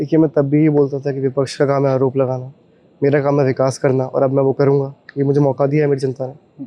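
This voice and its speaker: This man's voice sits fairly high. His delivery is monotone, with flat intonation. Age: 20s. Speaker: newly elected local councillor. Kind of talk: on-the-spot interview.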